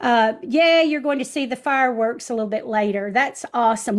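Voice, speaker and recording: A woman's fairly high-pitched voice on a very clean recording with a silent background. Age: 60s. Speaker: social media live-stream host. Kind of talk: live-stream chat with viewers. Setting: home studio set up in living room. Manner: animated.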